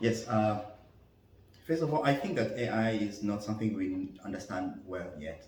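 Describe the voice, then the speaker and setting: Amid noticeable background noise and audible room echo, a man speaks at a moderate pace. His pitch is fairly low, with ordinary variation. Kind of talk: interview. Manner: halting, many fillers.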